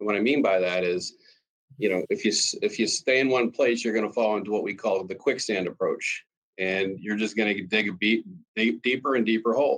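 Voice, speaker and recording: Man with an American accent, medium pitch and a fairly quick pace. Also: ordinary pitch variation. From Pennsylvania, US. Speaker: cost optimization consultant. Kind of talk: interview. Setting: video call.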